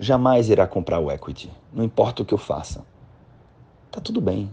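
His tone dark and mellow, a man speaks at a fairly low pitch and a moderate pace. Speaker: podcast host and financial consulting mentor. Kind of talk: casual monologue. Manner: halting.

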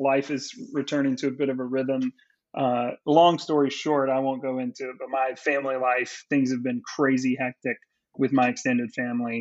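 A man's medium-pitched voice at a moderate pace, flat and monotone. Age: 30s. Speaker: podcast co-host. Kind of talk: casual chat.

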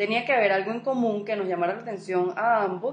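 Over noticeable background noise, a woman at a medium pitch talks at a very fast pace with ordinary pitch variation. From Colombia. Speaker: podcast co-host. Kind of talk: casual chat.

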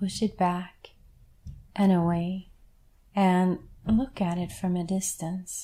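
At a very slow pace with long, frequent pauses, the voice is monotone and flat, dark and mellow, somewhat breathy, with a gentle, calm tone on a very clean recording with a silent background. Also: woman, medium pitch for a woman. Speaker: guided meditation leader. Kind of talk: guided meditation. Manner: slow, calm, soothing, with long pauses; gentle, reassuring, instructive.

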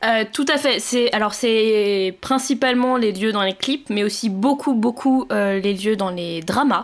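A woman's fairly high voice at a very slow pace, with ordinary pitch variation and hardly any pauses. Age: 20s. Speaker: podcast co-host, computer engineer. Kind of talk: casual chat.

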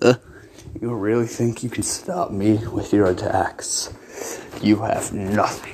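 Fairly even intonation shapes a natural reading voice.

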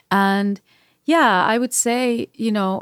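A woman speaks with a Spanish accent. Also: very clean recording, silent background. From Spain, Madrid area. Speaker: singer-songwriter and producer. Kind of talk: interview.

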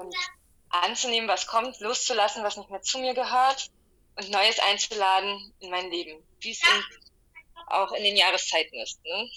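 A woman speaks in a normal speaking voice at medium pitch, with lively intonation and a moderate pace. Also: big swings in loudness. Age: 30s. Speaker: energy healer with a medical profession. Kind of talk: casual interview.

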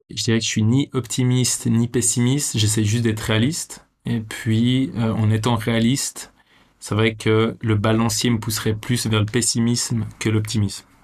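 The man's medium-pitched voice stays monotone, flat in its intonation. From Switzerland (Vevey, Romandy). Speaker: teacher and adventurer, documentary maker. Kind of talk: interview conversation. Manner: hesitant, many fillers.

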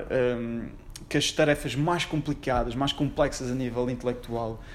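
A man's monotone, flat voice at a moderate pace. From Portugal, Madeira (Funchal). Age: 20s. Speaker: lawyer. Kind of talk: casual interview.

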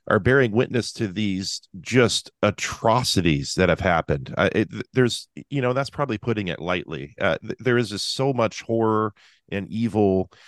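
With an American accent and a normal speaking voice, the speaker goes at a moderate pace with lively intonation, in a dry, close sound with no echo and a quiet background. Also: man. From Seattle area. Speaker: podcast co-host and occasional preacher. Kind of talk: casual interview.

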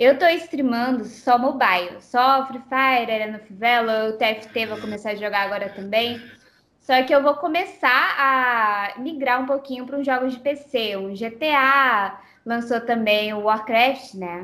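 At a fairly slow pace, a woman speaks in a high pitch with ordinary pitch variation and big swings in loudness. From Brazilian parents, born in Japan. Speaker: game streamer. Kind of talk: interview. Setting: Skype call.

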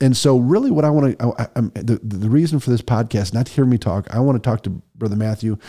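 In a very clean recording with a silent background, a man speaks at a very fast pace in a dark, mellow tone, at medium pitch with ordinary pitch variation and a dry, close sound with no echo. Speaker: podcast host and church missions director. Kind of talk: interview podcast conversation.

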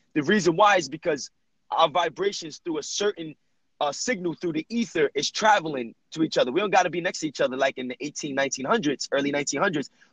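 A man talks at a fairly quick pace in an animated tone with a fairly high pitch. His pitch varies in an ordinary way, and the sound is dry and close with no echo. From New Jersey, Jersey City. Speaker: personal trainer. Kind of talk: casual chat.

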